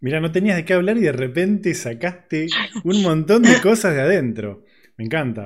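With a Rioplatense accent, a man speaks at a moderate pace, high-pitched with very wide pitch swings. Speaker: podcast host. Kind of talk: casual interview chat. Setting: studio.

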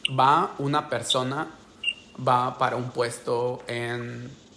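A man speaks in a medium pitch with monotone, flat intonation and long, frequent pauses. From Mexico, Oaxaca. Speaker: podcaster. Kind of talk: casual chat. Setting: video call.

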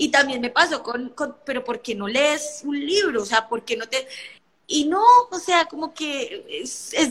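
Raising and projecting her voice, a woman talks at a fairly slow pace. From Colombia. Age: 20s. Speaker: lawyer and entrepreneur. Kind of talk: live stream conversation.

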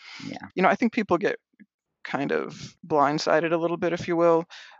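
In an American accent, a man speaks at high pitch. His pace is fairly quick. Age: 40s. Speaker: transgender faith writer and website founder. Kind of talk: casual interview conversation.

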